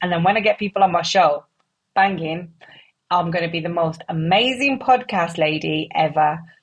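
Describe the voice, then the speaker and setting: A woman talks at a fairly quick pace in a somewhat breathy voice. Her pitch is fairly low, with ordinary variation. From West Midlands, England (Wolverhampton). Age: 30s. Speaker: podcast host. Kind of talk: casual solo monologue. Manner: animated.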